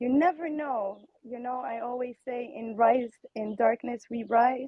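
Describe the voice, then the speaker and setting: At a fairly slow pace, a woman speaks with a fairly high pitch and ordinary pitch variation. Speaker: guest sharing family story. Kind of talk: casual group chat. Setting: online audio room.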